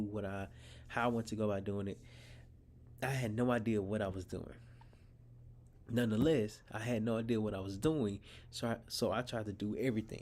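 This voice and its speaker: A man's normal speaking voice, fairly low-pitched, with fairly even intonation at a fairly quick pace. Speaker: podcast host. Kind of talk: casual monologue. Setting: outdoors while traveling, not in studio.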